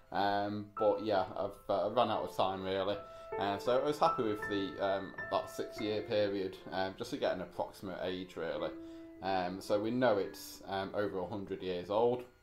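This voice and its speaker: Faint music plays behind a man talking at a moderate pace with ordinary pitch variation. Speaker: antiques reseller. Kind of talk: casual vlog chat. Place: home room. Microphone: camera far.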